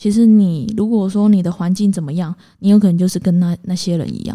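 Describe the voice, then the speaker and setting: In a Taiwanese accent, a woman speaks at a moderate pace with a dark, mellow tone and a medium pitch. Her pitch variation is ordinary, and the recording is very clean with a silent background. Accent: Taiwanese Mandarin. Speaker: podcast co-host. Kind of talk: casual chat. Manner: direct, blunt.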